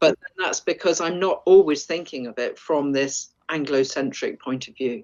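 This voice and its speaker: A woman with an English accent and a very deep, low pitch talks at a moderate pace with hardly any pauses. Her loudness swings widely while her pitch varies in an ordinary way. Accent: sounds very English. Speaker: forager and wild food expert. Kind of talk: interview.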